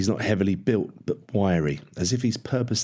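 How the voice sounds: This is a natural reading voice. It reads the text straight through.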